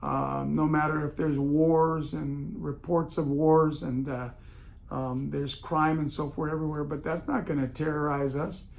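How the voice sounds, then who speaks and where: Audible room echo around a man's fairly high pitch and moderate pace. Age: 60s. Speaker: podcast host, municipal staffing consultant. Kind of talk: casual monologue podcast. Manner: halting, many fillers; animated.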